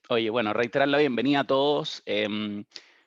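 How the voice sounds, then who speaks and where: Speaking in a Chilean accent, a man uses medium pitch with ordinary pitch variation at a moderate pace. The sound is dry and close with no echo, against a quiet background. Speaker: digital strategy consultant. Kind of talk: webinar panel presentation. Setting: webcast. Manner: halting, frequent repetitions.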